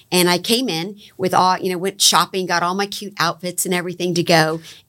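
A woman with an American accent speaks in a normal speaking voice at a medium pitch and a fairly quick pace. Her intonation is fairly even, and the recording is very clean with a silent background. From Florida, Palm Beach County. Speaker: economic development agency executive. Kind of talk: interview.

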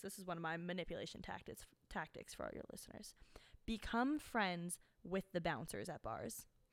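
A woman talks at a fairly quick pace in a medium pitch, with lively intonation and a plain, everyday voice. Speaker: podcast guest, host's friend. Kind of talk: casual chat. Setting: studio.

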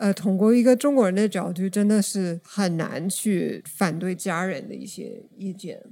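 The speaker has an English accent and a dark, mellow tone, talking at a fairly slow pace. There are hardly any pauses and big swings in loudness. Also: woman, medium pitch for a woman, ordinary pitch variation. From United States. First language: English (speaking Chinese). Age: 30s. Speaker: podcast guest. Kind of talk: casual chat.

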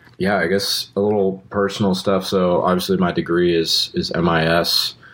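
Against noticeable background noise, a man with an American accent speaks at a fairly slow pace in a very deep, low pitch and fairly even intonation. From Austin, Texas. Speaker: musician and college student. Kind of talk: casual interview. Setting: outdoors.

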